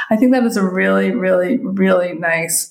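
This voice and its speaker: An unremarkable speaking voice from a woman, medium in pitch and fairly quick in pace. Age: 50s. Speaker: photography business coach. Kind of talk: solo podcast monologue. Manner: casual, with filler words.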